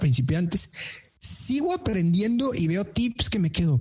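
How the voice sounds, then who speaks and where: The speaker, with a Mexican accent, talks at a fairly slow pace. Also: man. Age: 30s. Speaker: sales trainer and podcaster. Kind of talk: interview.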